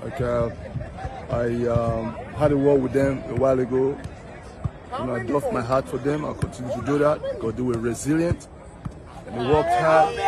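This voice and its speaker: Clear background music behind a man talking at a moderate pace, with a dry sound and no echo. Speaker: football coach. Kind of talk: interview answer. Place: stadium. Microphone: phone near.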